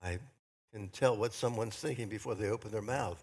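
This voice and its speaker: A man speaks in a fairly low, somewhat breathy voice with ordinary pitch variation. The recording is very clean, with a silent background. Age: 80s+. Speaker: minister. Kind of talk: sermon.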